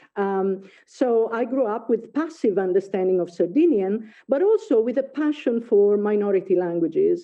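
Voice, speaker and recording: With an Italian accent, a woman talks fairly slowly at a fairly high pitch, her pitch swinging very widely. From Italy. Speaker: professor. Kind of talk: lecture. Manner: halting, many fillers.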